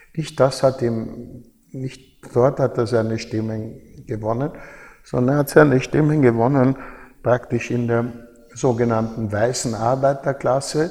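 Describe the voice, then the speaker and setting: A man's fairly slow, fairly even-toned speech over noticeable background noise. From Austria, Baden near Vienna. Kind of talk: interview.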